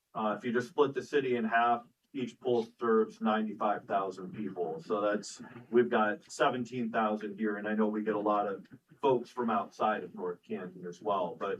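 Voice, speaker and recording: With a fairly low pitch and ordinary pitch variation, a man talks at a moderate pace. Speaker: city official. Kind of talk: council meeting discussion. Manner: loud.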